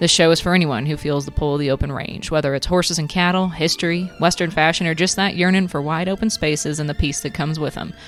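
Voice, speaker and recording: Over background music, a woman speaks at a very fast pace in a fairly low pitch, her intonation fairly even and her pauses few. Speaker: podcast host; poet. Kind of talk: podcast introduction.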